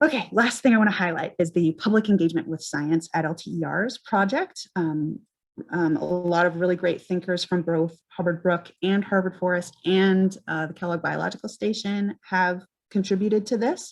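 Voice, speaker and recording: The woman's fairly low pitch shifts with ordinary variation as she speaks. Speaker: ecology outreach presenter. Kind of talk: conference presentation. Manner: fast.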